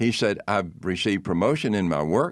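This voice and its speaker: A man speaks in a Southern US accent with a fairly low pitch. His pace is moderate and the background is quiet. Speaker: pastor. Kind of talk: interview testimony. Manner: halting.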